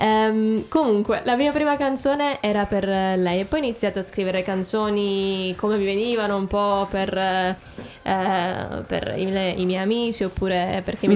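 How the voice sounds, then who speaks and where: This woman has a normal speaking voice with medium pitch and ordinary pitch variation. She keeps a moderate pace and a very even loudness. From Abruzzo, Italy (Teramo). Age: 20s. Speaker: singer-songwriter. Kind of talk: radio interview. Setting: radio studio.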